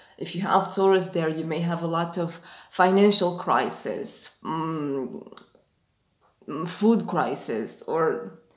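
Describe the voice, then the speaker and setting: Against a quiet background with audible room echo, a woman speaks at a fairly slow pace and a fairly low pitch. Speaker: spiritual astrology vlogger. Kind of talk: lecture-like vlog talk. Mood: earnest, intense. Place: home room. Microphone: phone near.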